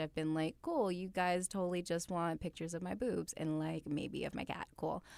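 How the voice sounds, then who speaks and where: A woman speaks at a moderate pace in a fairly low pitch, with a plain, everyday voice. The recording is very clean, with a silent background. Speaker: freelance artist and model. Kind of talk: casual chat.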